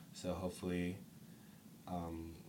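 With an American accent, a man speaks in a very deep, low, somewhat breathy voice and flat monotone, with audible room echo around him. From Stockton, California. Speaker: punk band musician. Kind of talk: casual interview.

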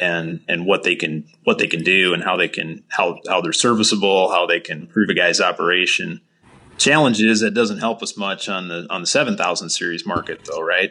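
Against a quiet background, a man with an Upper Midwest accent talks at a fairly quick pace. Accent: Upper Midwest American. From southeast North Dakota. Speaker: farm equipment dealership sales manager. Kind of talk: casual interview.

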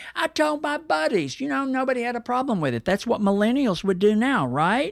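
With an American accent, a man speaks at an extremely high pitch with very wide pitch swings on a very clean recording against a silent background. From Texas, Dallas. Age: 70s. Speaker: poet and performer. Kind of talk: interview conversation.

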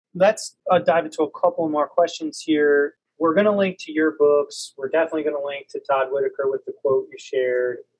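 A man with an unremarkable speaking voice talks at a fairly quick pace with hardly any pauses. His pitch is fairly high, and his loudness swings widely. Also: fairly even intonation. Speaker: podcast co-host, educator. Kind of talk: interview. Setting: video call.

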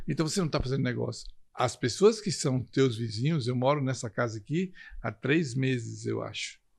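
A man with a somewhat breathy voice speaks at a moderate pace with lively intonation. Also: medium pitch for a man, quiet background. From Brazil, Recife (Pernambuco). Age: 60s. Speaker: network marketing leader. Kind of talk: interview.

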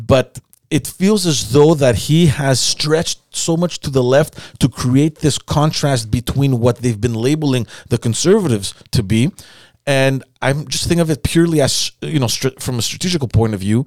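A plain, everyday voice from a man, medium in pitch, with ordinary pitch variation at a moderate pace. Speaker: podcast host. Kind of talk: casual interview.

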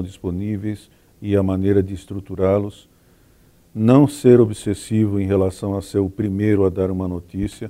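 A man talks with a dark, mellow tone at a fairly low pitch. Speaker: journalism professor, veteran journalist. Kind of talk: panel discussion. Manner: formal.

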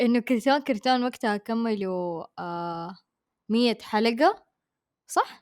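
With a Hejazi accent, a woman speaks at a very slow pace, her fairly high voice carrying lively intonation in a very clean, silent-background recording with a dry, close sound and no echo. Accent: Hejazi Saudi Arabic. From Saudi Arabia, Hejaz (Mecca/Jeddah). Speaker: podcast co-host. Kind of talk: casual chat.

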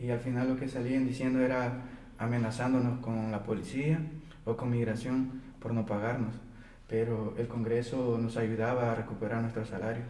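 In a room with audible echo, a man rattles along at a very fast pace, his medium-pitched voice monotone and flat. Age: 30s. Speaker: day laborer organizer. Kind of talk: interview testimony.

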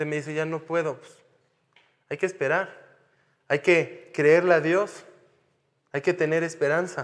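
A man's fairly high, monotone, flat voice at a fairly slow pace, with long, frequent pauses and big swings in loudness. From France (Paris). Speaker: missionary pastor. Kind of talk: sermon.

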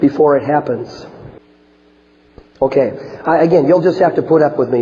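Using a put-on character voice, a man sounds hoarse at a fairly high pitch, keeping a moderate pace, very even loudness and fairly even intonation.

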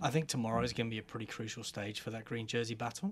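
A man's voice with fairly even intonation. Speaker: cycling commentator. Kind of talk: casual chat.

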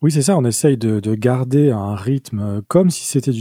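A man's dark, mellow voice at a fairly slow pace, with ordinary pitch variation and a dry, close sound with no echo. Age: 40s. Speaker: podcast co-host and sound engineer. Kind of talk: casual chat.

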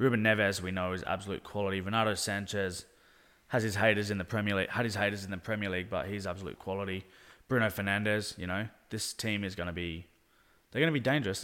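Delivered at a very fast pace with an Australian accent, the voice has a bright, sharp tone in a very clean recording with a silent background. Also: man. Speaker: football podcast co-host. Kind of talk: casual chat. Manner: animated.

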